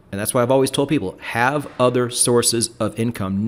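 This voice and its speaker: Medium in pitch, a man talks with ordinary pitch movement at a moderate pace. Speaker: YouTuber and trading educator, podcast host. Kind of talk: podcast conversation. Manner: frequent ums and repeated words.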